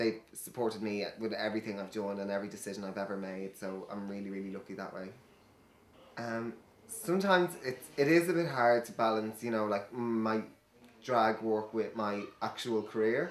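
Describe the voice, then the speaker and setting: A man talks at a moderate pace in a fairly low pitch. His pitch varies in an ordinary way. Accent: Irish. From Ireland. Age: 20s. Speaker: hairdresser and drag queen. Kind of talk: interview. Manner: hesitant, many fillers.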